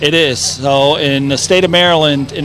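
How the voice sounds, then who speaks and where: Through noticeable background noise, a man talks with a fairly high pitch and fairly even intonation. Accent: German. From East Germany. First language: German. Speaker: brewery representative. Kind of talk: casual interview. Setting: outdoor festival.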